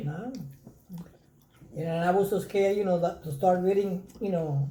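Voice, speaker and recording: Speaking with a Spanish accent, a woman has a somewhat breathy, dark, mellow tone, medium pitch, ordinary pitch variation and a moderate pace. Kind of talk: interview answer.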